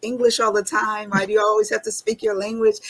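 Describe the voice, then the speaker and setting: Noticeable background noise is audible. Over it, a woman talks with an American accent. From US, Washington DC. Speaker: military veteran and nonprofit founder. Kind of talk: interview.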